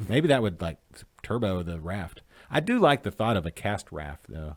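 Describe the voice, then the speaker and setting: This man talks with a slight Arkansas accent. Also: very clean recording, silent background. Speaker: craft beer show host. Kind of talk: casual chat. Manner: animated.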